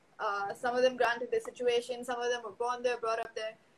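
A woman speaks in a high pitch. She has a Tamil accent. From Chennai, India. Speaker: podcast guest. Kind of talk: casual chat. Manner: animated.

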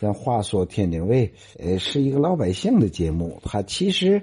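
At a fairly slow pace, a man with a fairly low pitch and a dark, mellow, somewhat breathy tone makes very wide pitch swings. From Tianjin, China. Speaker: radio host. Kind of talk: casual talk on dialect.

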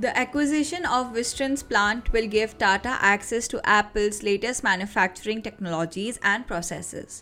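A woman talks at a moderate pace with hardly any pauses, over music in the background. Her pitch is fairly high, with ordinary variation. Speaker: student podcast host. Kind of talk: news reading. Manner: formal.

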